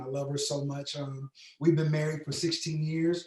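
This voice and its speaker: A man speaks at a moderate pace with a fairly high pitch and an American accent. His intonation stays monotone and flat. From US Midwest, Kansas City, Missouri. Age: 30s. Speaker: pastor. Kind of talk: casual interview.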